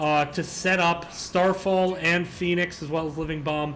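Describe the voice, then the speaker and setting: In an American accent, a man speaks at a moderate pace in a flat monotone, with audible room echo. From West Virginia. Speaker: esports caster. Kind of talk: live commentary. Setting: livestream.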